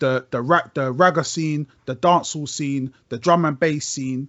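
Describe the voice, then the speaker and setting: Speaking with a London accent, a man uses a fairly high pitch, ordinary pitch variation and a moderate pace. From South London, Brixton. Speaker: rapper. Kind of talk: casual chat. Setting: video call.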